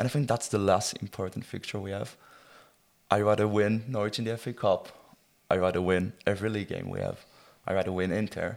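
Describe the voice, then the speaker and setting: With an Israeli accent, the speaker moves at a fairly quick pace with fairly even intonation and long, frequent pauses, on a very clean recording with a silent background. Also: man, fairly low pitch for a man. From Israel, rural kibbutz. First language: Hebrew. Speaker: football fan. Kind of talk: casual chat.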